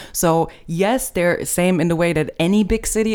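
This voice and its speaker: This woman speaks with a German accent. Her pitch sits fairly low. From Germany.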